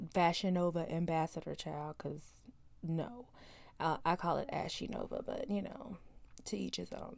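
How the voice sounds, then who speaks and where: Soft-spoken and with vocal fry, a woman talks at a moderate pace in a fairly low pitch with lively intonation. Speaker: podcast host. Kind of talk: casual chat. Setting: home closet.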